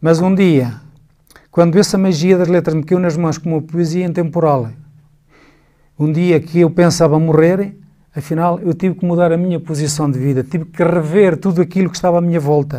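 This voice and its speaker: A man's high-pitched voice, dark and mellow in tone, with fairly even intonation at a moderate pace. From northern Portugal, emigrated to Luxembourg at 17. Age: 60s. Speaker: writer. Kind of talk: interview. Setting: studio.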